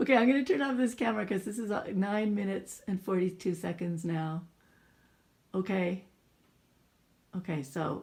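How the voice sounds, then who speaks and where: A woman talks at a moderate pace in a somewhat breathy voice. Her speech has long, frequent pauses. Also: medium pitch for a woman, ordinary pitch variation. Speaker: parent filming her son. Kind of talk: casual family chat. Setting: home video recording. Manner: mumbling.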